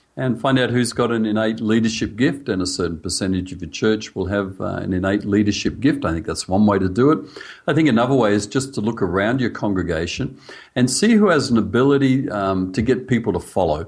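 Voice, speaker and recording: A man with an Australian accent and a fairly low pitch talks at a fairly quick pace. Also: ordinary pitch variation. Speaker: church leadership coach. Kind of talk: interview.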